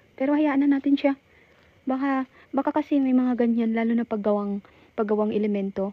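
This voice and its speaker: A woman whispers at a very fast pace. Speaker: cemetery explorer vlogger. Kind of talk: live vlog narration. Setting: outdoors in cemetery at night. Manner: whispering.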